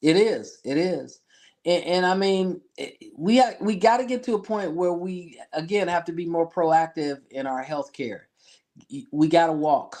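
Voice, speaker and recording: Against a quiet background, a man with an American accent and a high pitch talks at a fairly slow pace with lively intonation. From Detroit, Michigan, US. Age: 60s. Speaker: health insurance business owner. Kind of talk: interview. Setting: studio.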